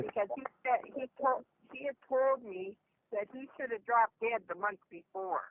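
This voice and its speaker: A woman with a plain, everyday voice speaks at a fairly high pitch and moderate pace, with ordinary pitch variation. Her loudness swings widely, and the sound is dry and close with no echo. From Canada. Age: 60s. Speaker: former home care worker. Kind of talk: interview answer.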